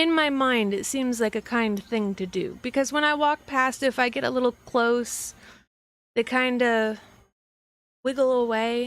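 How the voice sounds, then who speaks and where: Soft-spoken and fairly slow, the voice shows ordinary pitch variation on a very clean recording with a silent background. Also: woman, high pitch for a woman. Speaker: livestreamer. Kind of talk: casual livestream chat. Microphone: quiet mic level, boosted.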